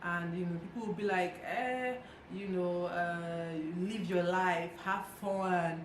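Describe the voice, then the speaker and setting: A woman at a medium pitch and fairly slow pace, with noticeable background noise. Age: 20s. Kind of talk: casual talk to camera.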